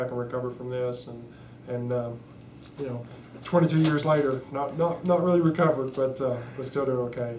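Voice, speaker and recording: Over noticeable background noise and audible room echo, a man talks at a fairly quick pace with fairly even intonation. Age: 30s. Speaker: spinal cord injury survivor. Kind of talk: interview testimony. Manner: halting, many fillers.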